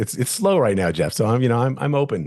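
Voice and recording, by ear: A man's medium-pitched, slightly mellow voice at a fast pace, full of big pitch swings.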